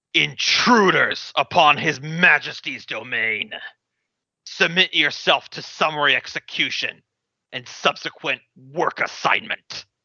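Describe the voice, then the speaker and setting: A man puts on a character voice. It is raspy and fairly high for a man. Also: fairly slow pace. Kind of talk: formal, archaic. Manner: commanding.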